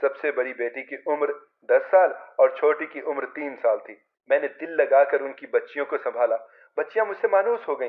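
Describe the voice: This man talks at a moderate pace in a medium pitch, with ordinary pitch variation.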